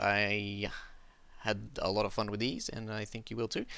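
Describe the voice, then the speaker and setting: A man speaks in a fairly low, bright, sharp voice with an Australian accent. The recording is very clean, with a silent background. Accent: scuffed Australian. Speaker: gaming YouTuber. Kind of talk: gameplay commentary. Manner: casual, hesitant with fillers.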